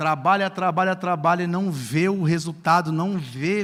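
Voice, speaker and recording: Speaking at a fairly slow pace, a man has a high pitch and fairly even intonation. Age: 40s. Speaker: pastor. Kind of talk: sermon.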